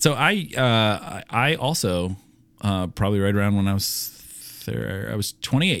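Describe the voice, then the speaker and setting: An ordinary speaking voice from a man, fairly low in pitch, with lively intonation at a moderate pace on a very clean recording with a silent background. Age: 30s. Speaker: podcast co-host, pastor. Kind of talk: casual chat.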